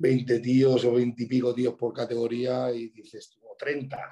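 In a dark, mellow tone, a man speaks at a medium pitch and a fairly slow pace with monotone, flat intonation. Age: 30s. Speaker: bodybuilder and coach. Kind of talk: casual chat.

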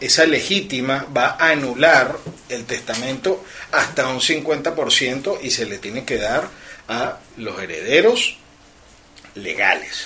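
Speaking at a very slow pace with long, frequent pauses, a man with a fairly high pitch uses lively intonation over noticeable background noise. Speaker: lawyer. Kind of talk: radio talk show.

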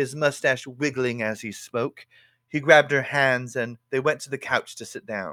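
Over a quiet background, a natural reading voice moves with fairly even intonation.

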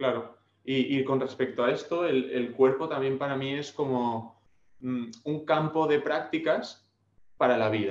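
A man's unremarkable speaking voice, medium in pitch, at a fairly slow pace with ordinary pitch variation. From Spain, Alicante (Dénia). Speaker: personal trainer. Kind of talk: interview.

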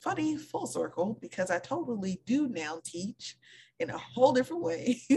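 A woman speaks at a moderate pace in an animated tone. Her voice is somewhat breathy. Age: 30s. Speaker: podcast co-host. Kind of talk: casual chat.

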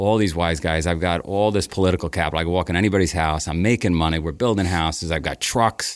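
In a New York accent, a man with a very deep, low pitch talks very fast with hardly any pauses and fairly even intonation, on a very clean recording with a silent background. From Queens, New York. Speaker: race company founder. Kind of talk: storytelling interview.

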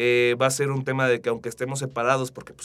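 A man is speaking. His pace is very fast. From Mexico, Aguascalientes. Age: 20s. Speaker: digital marketing specialist. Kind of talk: interview. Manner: halting, many fillers.

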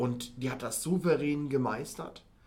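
A man talks in an unremarkable speaking voice. His pitch is fairly high, with ordinary pitch variation. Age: 30s. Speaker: business and finance consultant. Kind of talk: casual interview.

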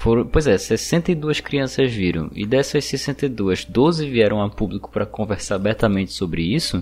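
Fairly slow speech from a man in a medium pitch, with lively intonation, hardly any pauses, and music in the background. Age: 20s. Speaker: podcast co-host. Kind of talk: casual chat.

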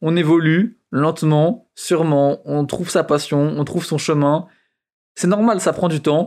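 The recording is very clean, with a silent background. A man speaks at a fairly high pitch with fairly even intonation. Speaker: photographer and podcaster. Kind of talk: casual monologue. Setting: outdoors on a scooter in traffic. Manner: fast.

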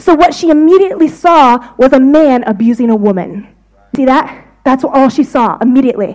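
A woman with an American accent speaks at a high pitch. Her intonation is lively. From United States. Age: 30s. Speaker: visiting preacher. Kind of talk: sermon.

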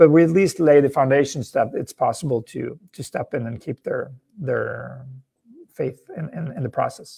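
At a moderate pace, a man speaks with big swings in loudness. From Norway. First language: Norwegian. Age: 40s. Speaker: entrepreneur and author. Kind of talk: interview.

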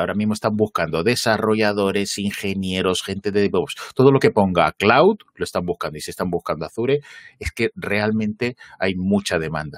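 A man with a normal speaking voice talks at a fairly quick pace and a fairly low pitch, with ordinary pitch variation and a dry, close sound with no echo. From northern Spain, Asturias (Gijón). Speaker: cloud computing trainer. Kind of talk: casual interview. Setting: live stream, studio.

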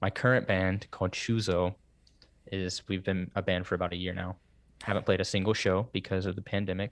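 A man speaks fairly quickly with an American accent and a very deep, low pitch. His intonation is monotone and flat, and the recording is very clean with a silent background. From US Southeast. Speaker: podcast host and musician. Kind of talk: casual chat.

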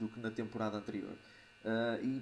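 At a medium pitch, a man speaks in a monotone with flat intonation. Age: 30s. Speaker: podcast co-host. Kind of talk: casual chat.

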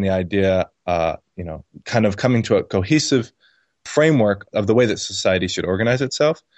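A man with a plain, everyday voice, medium pitch, ordinary pitch variation, and a fairly quick pace. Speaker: libertarian blogger. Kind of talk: casual interview conversation.

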